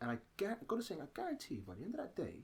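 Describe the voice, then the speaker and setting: A man with a British accent talks at a fairly quick pace. His voice carries vocal fry. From Britain. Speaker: actor, writer, theatre-maker. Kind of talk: interview answer.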